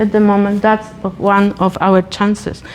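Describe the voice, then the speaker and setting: A woman speaks in a Polish accent at a medium pitch. Her pace is fairly slow. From Poland. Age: 50s. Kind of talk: talk.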